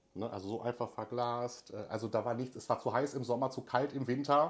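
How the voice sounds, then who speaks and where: Speaking at a moderate pace, a man has a plain, everyday voice with a medium pitch. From Germany, Cologne-Düsseldorf area. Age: 30s. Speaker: emigrant telling his story. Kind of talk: casual interview.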